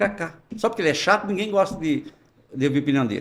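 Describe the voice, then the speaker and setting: This man talks at a very fast pace. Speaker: businessman. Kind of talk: podcast interview. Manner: animated.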